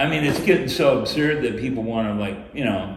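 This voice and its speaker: A man's voice, with ordinary pitch variation, is heard through audible room echo and noticeable background noise. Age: 60s. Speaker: former city council member. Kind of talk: panel discussion. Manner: animated; hesitant, filler-heavy.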